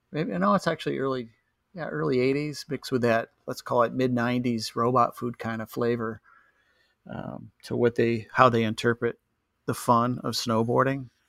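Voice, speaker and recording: A man with an American accent, a normal speaking voice at medium pitch and a moderate pace, ordinary pitch variation, and a dry, close sound with no echo. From US. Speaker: snowboarding photographer and brand founder. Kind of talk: casual interview chat. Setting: remote call.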